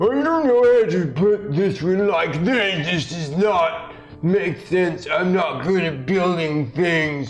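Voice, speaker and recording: A man does a put-on character voice in a high pitch. He speaks at a very slow pace, with faint music in the background. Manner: slow, dim-witted.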